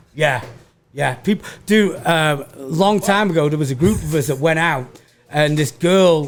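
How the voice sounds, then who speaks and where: Fairly high-pitched man in a Manchester accent, moderate in pace with ordinary pitch variation. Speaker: stand-up comedian. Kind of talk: casual chat. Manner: stammering repetitions.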